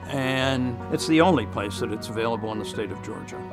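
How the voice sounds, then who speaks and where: There is clear music in the background as a man speaks. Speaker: prostate cancer survivor; spin class instructor. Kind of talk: patient testimonial interview answer. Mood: calm, grateful. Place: studio. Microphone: lapel.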